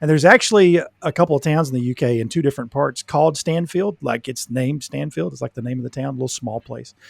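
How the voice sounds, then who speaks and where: Speaking with an American accent, a man has a fairly high pitch and ordinary pitch variation. He talks at a very fast pace with hardly any pauses, in a dry, close sound with no echo. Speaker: podcast co-host, mental health professional. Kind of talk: casual chat.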